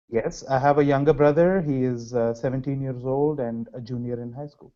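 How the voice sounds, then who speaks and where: A man with a Telugu accent, medium in pitch, at a fairly quick pace with fairly even intonation and big swings in loudness. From India, Hyderabad. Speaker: graduate student researcher. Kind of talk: interview.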